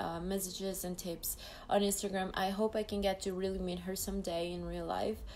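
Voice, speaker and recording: Speaking at a moderate pace, a woman talks with a Mexican accent. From Mexico, Jalisco. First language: Spanish. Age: 20s. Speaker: beauty pageant contestant. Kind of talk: live stream Q&A. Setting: live video stream. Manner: halting.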